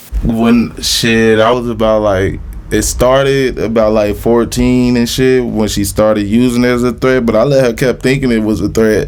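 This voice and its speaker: Speaking with an American accent, a man keeps his intonation fairly even and his loudness very even, with hardly any pauses, over noticeable background noise and audible room echo. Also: medium pitch for a man, moderate pace. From Little Rock, Arkansas. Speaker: rapper. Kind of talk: casual interview.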